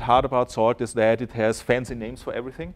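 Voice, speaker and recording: A man speaks at a very fast pace with a German accent. His pitch is medium. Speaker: software developer. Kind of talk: conference talk. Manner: halting, many fillers.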